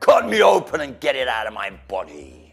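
Faint music plays in the background as a man uses a put-on character voice at a moderate pace. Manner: screaming.

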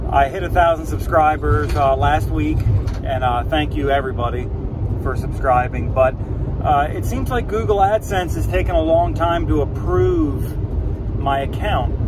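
A man speaks at a moderate pace in a dry sound with no echo. Noticeable background noise is present. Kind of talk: casual vlog chat. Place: car. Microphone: phone near.

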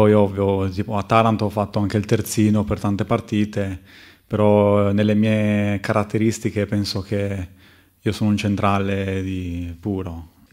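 Over a quiet background, a man with a fairly low pitch speaks at a fairly slow pace in a monotone, flat delivery. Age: 20s. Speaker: professional footballer. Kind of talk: press conference. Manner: halting, with many fillers. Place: meeting room. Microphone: podium.

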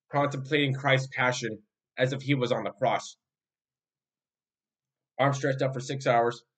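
A man's fairly even intonation and moderate pace come through over a quiet background. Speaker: bible study teacher. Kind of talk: religious teaching talk. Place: home room. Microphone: webcam.

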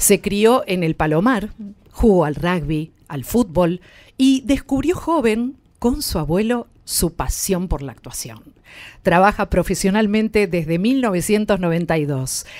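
Very wide swings mark this woman's pitch. She talks at a very slow pace. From Argentina. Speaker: radio host. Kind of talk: radio interview. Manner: animated. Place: studio. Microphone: studio mic.

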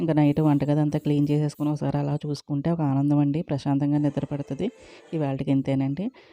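A woman speaks in a very deep, low pitch with flat, monotone intonation. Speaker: homemaker vlogger. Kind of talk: casual vlog chat. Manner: halting.

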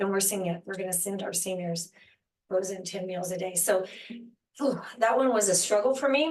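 A woman's normal speaking voice, medium in pitch, at a moderate pace with ordinary pitch variation. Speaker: senior services program director. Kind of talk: public presentation at council meeting.

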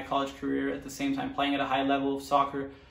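Audible room echo surrounds a man talking at a very fast pace. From Germany, Mönchengladbach. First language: German. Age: 20s. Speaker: professional soccer player. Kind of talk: personal story monologue. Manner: halting, many fillers. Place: home room.

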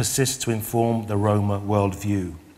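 In a British accent, a man speaks at a fairly low pitch and a moderate pace. His intonation is monotone and flat. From UK. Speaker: Roma artist and researcher. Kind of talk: lecture. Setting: stage with audience. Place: stage.

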